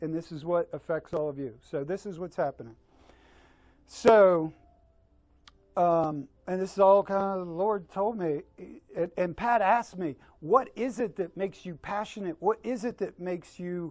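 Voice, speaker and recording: A man talks in a high pitch at a moderate pace with ordinary pitch variation and long, frequent pauses. The recording is very clean, with a silent background. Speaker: company leader. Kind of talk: speech to staff at party. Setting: office Christmas party. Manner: halting, repetitive.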